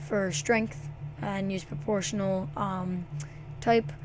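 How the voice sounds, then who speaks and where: Her medium-pitched voice competes with noticeable background noise and audible room echo. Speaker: gaming video editing tutorial maker. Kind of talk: screen-recorded software tutorial. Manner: halting, many fillers.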